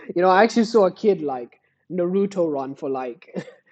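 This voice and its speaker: Speaking at a fairly quick pace, a man uses a high-pitched voice with lively intonation. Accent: British. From Britain. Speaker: gaming youtuber. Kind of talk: casual chat. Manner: animated, filler-heavy.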